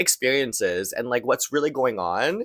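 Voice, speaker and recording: With a silent background and a very clean recording, a man delivers his words in an animated tone. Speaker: podcast host. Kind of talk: casual monologue. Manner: many fillers.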